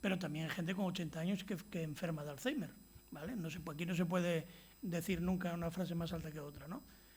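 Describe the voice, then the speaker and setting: Amid audible room echo, a man talks very fast in a high pitch with fairly even intonation. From Spain, Asturias (Gijón). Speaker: physician, lecturer. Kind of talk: lecture. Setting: stage with audience. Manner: halting, many false starts.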